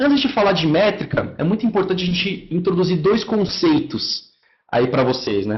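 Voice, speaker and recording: A man's high-pitched voice at a moderate pace, with very wide pitch swings and audible room echo. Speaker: marketing software account manager. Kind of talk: online lecture. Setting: online webinar.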